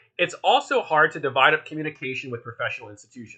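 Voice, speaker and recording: This man talks at a very fast pace in a Philadelphia accent. His pitch varies in an ordinary way. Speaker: workshop instructor, art collective organizer. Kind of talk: online workshop lecture. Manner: casual, many filler words.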